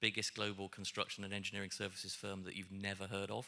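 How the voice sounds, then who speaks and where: The recording is very clean with a silent background. The voice has a bright, sharp tone. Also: man. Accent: British. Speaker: cybersecurity panelist. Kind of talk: panel discussion. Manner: halting, many fillers.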